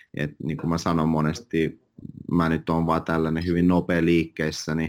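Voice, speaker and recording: A man's very deep, low voice. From Finland, moved from Russia at age five. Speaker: real estate agent. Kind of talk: interview. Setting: office.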